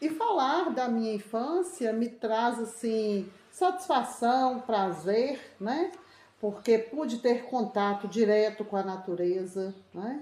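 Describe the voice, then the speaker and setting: Her tone dark and mellow, a woman speaks at a very slow pace with fairly high pitch and lively intonation. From Brazil, rural northeast Minas Gerais. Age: 60s. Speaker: interviewee. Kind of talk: interview.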